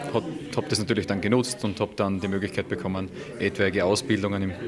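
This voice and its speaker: A man's voice over noticeable background noise. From Austria, Styria. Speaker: incoming rescue service commander. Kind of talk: interview. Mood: calm, matter-of-fact. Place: hall. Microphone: handheld.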